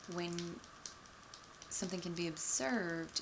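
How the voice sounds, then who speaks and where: A soft-spoken woman in a relaxed tone, with noticeable background noise. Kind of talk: casual talk to camera, soft-spoken explanation. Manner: soft-spoken, relaxed.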